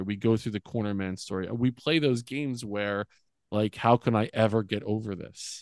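This man has an unremarkable speaking voice, fairly low in pitch, with an American accent and ordinary pitch variation at a moderate pace. The sound is dry and close with no echo, over a quiet background. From US, central New Jersey. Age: 40s. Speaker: former school principal, men's coach. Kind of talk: casual interview. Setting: podcast interview.

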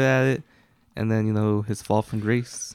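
On a very clean recording with a silent background and a dry, close sound with no echo, a man with a plain, everyday voice speaks at a moderate pace with fairly even intonation. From Mexican-American family, US. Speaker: podcast co-host. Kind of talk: casual chat.

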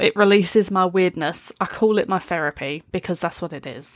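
Talking fairly quickly, a woman speaks in a British accent. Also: very clean recording, silent background. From UK. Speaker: streamer and podcast host. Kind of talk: solo casual talk. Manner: animated.

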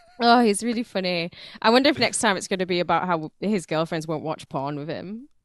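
At a fairly quick pace, a woman uses a normal speaking voice with medium pitch and lively intonation. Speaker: radio host. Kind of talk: casual chat.

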